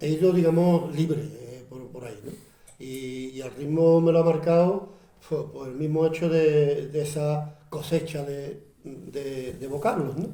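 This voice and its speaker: A man with an Andalusian accent speaks at a fairly high pitch with ordinary pitch variation. His loudness swings widely, and there is noticeable background noise. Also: fairly slow pace. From Utrera, Andalusia, Spain. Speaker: actor, presenter and writer. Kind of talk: book presentation talk.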